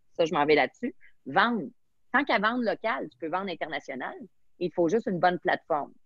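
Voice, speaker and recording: Intonation rises and falls with lots of life. The tone is animated, with a Quebec accent. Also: woman. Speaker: sommelier and entrepreneur. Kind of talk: interview.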